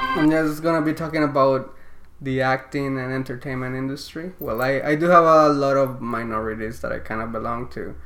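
A fairly quick pace and fairly even intonation, with noticeable background noise. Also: man, medium pitch for a man. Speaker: YouTuber and aspiring actor. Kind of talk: casual interview chat.

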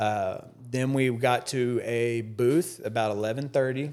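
A man at a medium pitch with an American accent. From Texas, Dallas area. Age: 40s. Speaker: storage auction reseller and YouTuber. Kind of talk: casual chat. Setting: studio. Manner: animated.

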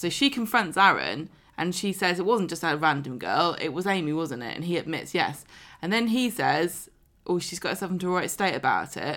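A woman's fairly low voice with a southern English accent, lively in intonation at a fairly quick pace, on a very clean recording with a silent background. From southern England. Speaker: podcast host. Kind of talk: casual chat.

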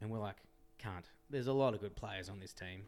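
A man with an Australian accent. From Western Australia, Perth area. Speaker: podcast guest, friend of host. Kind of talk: casual chat.

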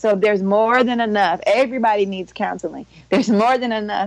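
Her pitch sits in the medium range as a woman talks at a moderate speed. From Cleveland, Ohio. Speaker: therapist. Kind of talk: casual interview.

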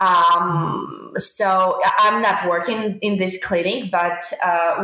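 A woman's medium-pitched voice with a Ukrainian accent and fairly even intonation, plus audible room echo. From Ukraine. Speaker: veterinary student. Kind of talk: interview. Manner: halting, many fillers.

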